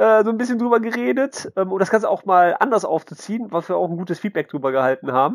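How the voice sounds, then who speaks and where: Very fast and with hardly any pauses, a man speaks at a high pitch with very wide pitch swings, in a dry, close sound with no echo. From Mönchengladbach, western Germany. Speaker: podcast host. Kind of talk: casual chat.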